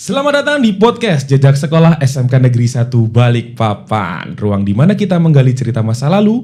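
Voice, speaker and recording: A man talks at a fairly quick pace with hardly any pauses, his fairly high pitch making very wide swings. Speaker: podcast host. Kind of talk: scripted podcast intro.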